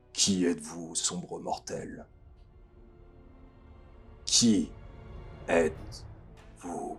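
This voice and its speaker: A booming, put-on character voice, very slow and broken by long, frequent pauses, over faint music in the background. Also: man. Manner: ominous, commanding.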